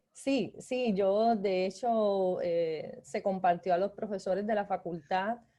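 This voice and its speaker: A woman with a Cuban accent speaks in a medium pitch, her dark, mellow tone carried by fairly even intonation. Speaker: graphic design lecturer. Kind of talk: guest lecture.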